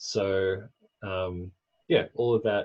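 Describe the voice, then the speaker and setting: Against a quiet background, a man talks in a very deep, low pitch, somewhat breathy, with fairly even intonation. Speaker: software developer presenting code. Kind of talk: technical demo walkthrough. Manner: fast.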